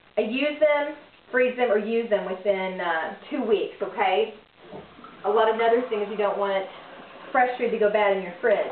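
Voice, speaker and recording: A woman with an American accent speaks with long, frequent pauses, over light background noise and audible room echo. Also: fairly high pitch for a woman, ordinary pitch variation, moderate pace. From United States. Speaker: business owner and home cook vlogger. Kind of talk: cooking tutorial. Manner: animated. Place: kitchen. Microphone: camera far.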